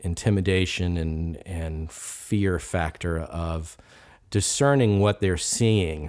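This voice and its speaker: On a very clean recording with a silent background, a man with an American accent and a very deep, low pitch talks very slowly with ordinary pitch variation. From Richmond, Virginia, US. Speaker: gallery owner and art fair organizer. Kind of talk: casual podcast interview.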